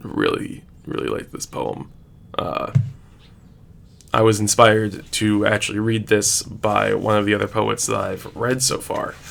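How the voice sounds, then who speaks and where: Noticeable background noise sits behind a man speaking at a fairly slow pace. He leaves long, frequent pauses. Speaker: teacher. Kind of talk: casual chat.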